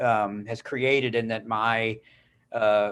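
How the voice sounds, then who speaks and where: Flat, monotone delivery with an American accent, on a very clean recording against a silent background. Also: man. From Wisconsin. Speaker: writer and teacher, panel moderator. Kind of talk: panel moderation.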